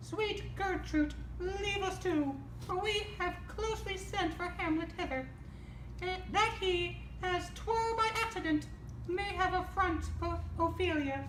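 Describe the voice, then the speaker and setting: In a put-on character voice, a woman talks at a fairly slow pace, sounding squeaky, with a slight echo and clear background noise. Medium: stage play. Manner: stumbling amateur reading, giggling.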